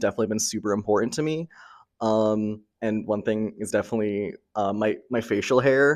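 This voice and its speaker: A man with a fairly low pitch talks at a fairly quick pace with fairly even intonation. It is an unremarkable speaking voice, set against a quiet background. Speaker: college student. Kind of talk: casual interview.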